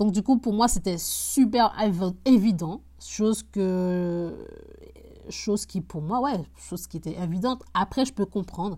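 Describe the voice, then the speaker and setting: At a very slow pace, a woman of medium pitch speaks in a dark, mellow, somewhat breathy tone with ordinary pitch variation. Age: 20s. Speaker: real estate investor podcaster. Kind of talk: casual solo podcast. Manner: halting, many fillers and repetitions.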